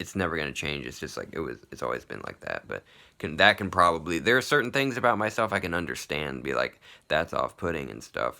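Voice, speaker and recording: A man's very fast speech with vocal fry, very wide pitch swings and big jumps in loudness, in a very clean recording with a silent background. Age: 30s. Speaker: vlogger. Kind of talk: personal video diary monologue. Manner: halting, many fillers like 'like' and 'you know'.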